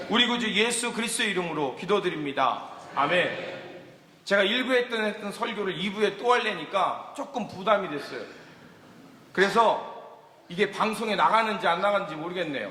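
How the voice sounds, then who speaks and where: A man's high, raised and projected voice at a fairly quick pace, with ordinary pitch variation, audible room echo and noticeable background noise. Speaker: guest pastor. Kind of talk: sermon. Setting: church with congregation. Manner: loud.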